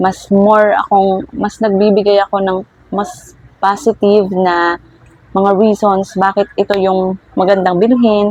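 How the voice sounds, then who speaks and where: A woman's medium-pitched voice, fairly slow and monotone with flat intonation, in a dry, close sound with no echo. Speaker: vlogger and small toy shop owner. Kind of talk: tutorial. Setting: indoors at home. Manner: speaking louder than usual.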